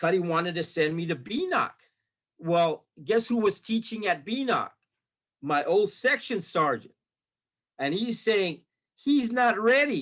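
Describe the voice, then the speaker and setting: Using lively intonation and an American accent, a man with a high pitch talks at a fairly slow pace with long, frequent pauses. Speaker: retired army sergeant. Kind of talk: interview storytelling. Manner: animated, with many repetitions and fillers.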